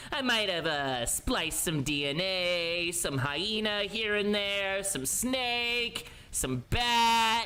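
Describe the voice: A put-on character voice at a fairly high pitch moves at a very slow pace with very wide pitch swings. Clear background noise runs underneath.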